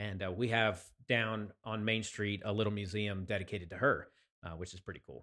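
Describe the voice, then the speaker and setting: A man with a fairly low pitch speaks in a bright, sharp tone with fairly even intonation on a very clean recording with a silent background. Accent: American. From Pennsylvania, Chester County. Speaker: podcast co-host. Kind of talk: casual chat.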